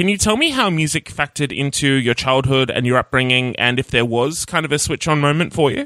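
Speaking fairly quickly with hardly any pauses, a man with an Australian accent has a fairly high pitch and a bright, sharp tone, with very even loudness and a dry, close sound with no echo. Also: ordinary pitch variation. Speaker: podcast host. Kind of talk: casual interview.

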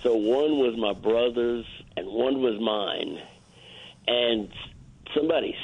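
A man in a New Orleans accent, fairly slow, medium-pitched, with ordinary pitch variation. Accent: New Orleans Southern US. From US South, New Orleans area. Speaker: guest. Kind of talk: casual chat.

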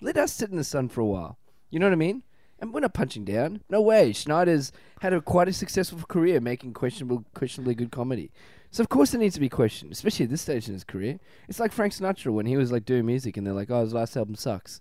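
A man talks very fast at a fairly high pitch, his dark, mellow tone swinging very widely in pitch over a very clean recording with a silent background. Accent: Australian. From Australia. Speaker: comedian. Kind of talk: casual chat.

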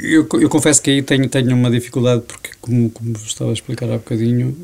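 Over noticeable background noise, a man with a medium pitch speaks at a very fast pace. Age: 50s. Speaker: business association director. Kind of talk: interview.

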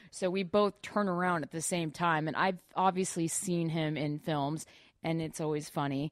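A normal speaking voice delivers the words at a moderate speed. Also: woman, fairly low pitch for a woman. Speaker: actress. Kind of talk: casual chat. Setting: studio. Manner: giggly, upbeat.

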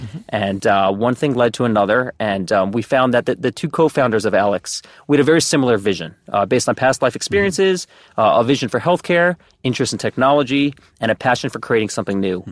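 A man with a New Jersey accent talks very fast with lively intonation on a very clean recording with a silent background and a dry, close sound with no echo. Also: medium pitch for a man. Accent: New Jersey American. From New Jersey, US. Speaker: startup executive. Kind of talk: casual interview.

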